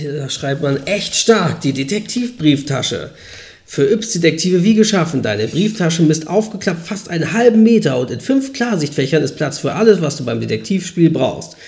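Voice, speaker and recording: Noticeable background noise sits under a man's voice. He speaks at a fairly high pitch and a moderate pace. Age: 30s. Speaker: podcast host. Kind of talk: casual chat. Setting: home recording in high-ceilinged old flat. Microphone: poor mic, room echo.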